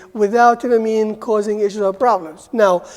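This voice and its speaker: Noticeable background noise sits behind a woman who speaks at a fairly high pitch with an Arabic accent. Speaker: university lecturer. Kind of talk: lecture.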